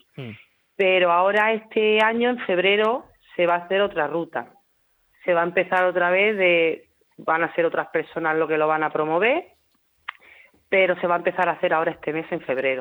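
A woman speaks at a fairly low pitch and a moderate pace. Her pitch varies in an ordinary way, and she leaves long, frequent pauses. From Hellín, Albacete (Castilla-La Mancha). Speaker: restaurant cook. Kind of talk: radio interview.

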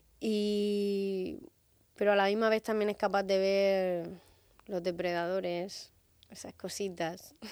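At a very slow pace, a woman of medium pitch speaks in a flat, monotone way on a very clean recording with a silent background. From Murcia, Spain. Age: 30s. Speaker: singer. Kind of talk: radio interview.

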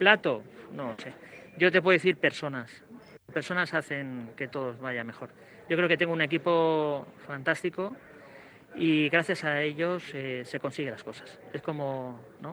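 Bright and sharp in tone, a man with a fairly high pitch and ordinary pitch variation talks at a fairly slow pace, with long, frequent pauses and big swings in loudness. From Spain, Alicante. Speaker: chef. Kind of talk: interview. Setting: on location at his restaurant, radio mobile unit. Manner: halting.

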